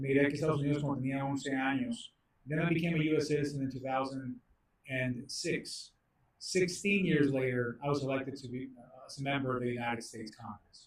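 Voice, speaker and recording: At a very fast pace, a man talks in a fairly high, somewhat breathy voice, his intonation fairly even but his loudness swinging widely. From Mexico, moved to US at eleven. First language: Spanish. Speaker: congressman. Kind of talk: prepared speech at policy briefing.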